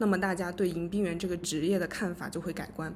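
Her voice is fairly low-pitched and a plain, everyday voice, and the woman talks at a fairly quick pace. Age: 20s. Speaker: podcast co-host, literature graduate student. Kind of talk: casual book discussion.

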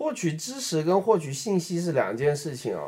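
Speech at a fairly slow pace with a dark, mellow tone and very wide pitch swings. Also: man. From Beijing, China. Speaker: app designer and podcast co-host. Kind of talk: casual chat.

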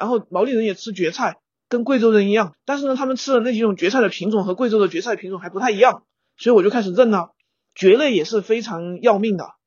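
A woman speaks at a very fast pace with a fairly high pitch. Her pitch variation is ordinary. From Guizhou, China. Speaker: animator and non-consumerist traveller. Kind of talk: casual chat.

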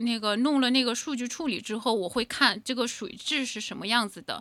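A woman's fairly high voice, bright and sharp in tone, in a very clean recording with a silent background. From Inner Mongolia, China. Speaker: entrepreneur. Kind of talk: interview. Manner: halting.

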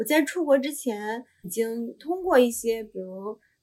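This woman's voice is high in pitch, with ordinary pitch variation. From China. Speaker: Chinese immigrant and job seeker in Korea. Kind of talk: casual interview chat. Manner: halting, many filler sounds.

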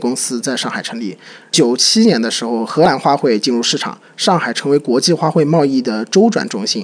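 Fairly high in pitch and with very wide pitch swings, a man talks with hardly any pauses over noticeable background noise. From Shanghai. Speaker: podcast co-host. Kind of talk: casual chat.

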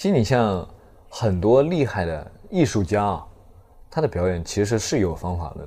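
This man speaks at a moderate pace with a fairly low pitch, lively intonation and a dark, mellow tone. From Zhejiang, China. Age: 20s. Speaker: stand-up comedian. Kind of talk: casual chat. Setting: hotel room.

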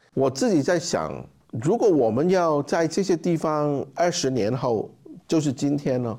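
A man with a fairly high pitch speaks at a moderate pace, his dark, mellow tone marked by vocal fry. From Hong Kong. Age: 50s. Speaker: charity founder. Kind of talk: interview conversation. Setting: conference room with live audience.

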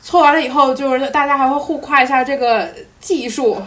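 Over noticeable background noise, a woman speaks at a high pitch and a moderate pace. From Jilin, Northeast China. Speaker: podcast guest. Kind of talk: casual chat.

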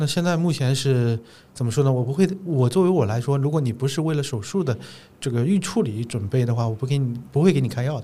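A very fast-paced man's voice at medium pitch, somewhat breathy, with ordinary pitch variation. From China, Zhejiang. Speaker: gynecologist. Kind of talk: casual interview conversation.

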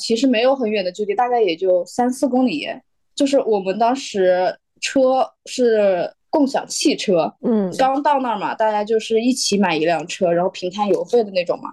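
Lively intonation marks this woman's fairly high-pitched voice, which has a dark, mellow tone. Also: quiet background. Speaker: illustrator and designer. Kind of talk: casual chat.

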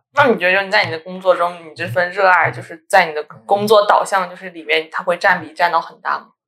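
A woman speaks at a very fast clip with hardly any pauses, her loudness swinging widely. Her fairly low voice has a bright, sharp tone and ordinary pitch variation. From Jiangsu, China (Kunshan). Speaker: podcast host. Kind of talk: casual interview chat.

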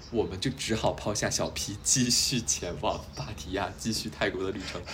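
A man speaks at a fairly low pitch with vocal fry. Audible room echo surrounds his voice. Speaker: podcast host. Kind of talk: casual chat.

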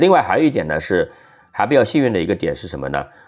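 Vocal fry runs through this man's speech as he talks at a very fast pace. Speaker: venture capital investor and former journalist. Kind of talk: casual interview.

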